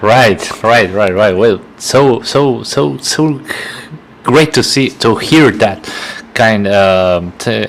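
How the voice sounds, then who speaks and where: Intonation is lively and loudness very even at a very slow pace, with noticeable background noise. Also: man, fairly low pitch for a man. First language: Spanish. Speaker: podcast host. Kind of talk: interview. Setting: live stream video call.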